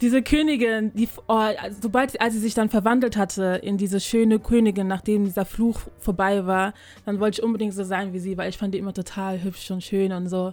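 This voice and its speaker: A woman's unremarkable speaking voice at medium pitch, fairly quick in pace, with fairly even intonation on a very clean recording with a silent background. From Germany. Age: 20s. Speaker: podcaster. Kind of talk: casual chat.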